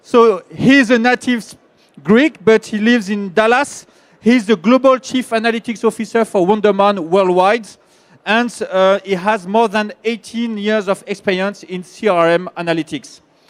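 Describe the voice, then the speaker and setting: A high-pitched man in a French accent speaks with ordinary pitch variation, the sound dry and close with no echo. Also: moderate pace. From France. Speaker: panel moderator. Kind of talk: panel introduction. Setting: conference stage with audience. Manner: hesitant, many fillers.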